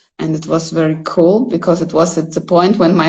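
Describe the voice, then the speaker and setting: A woman with a Russian accent speaks at a fairly low pitch over noticeable background noise. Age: 40s. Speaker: photographer. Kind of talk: casual chat. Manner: halting.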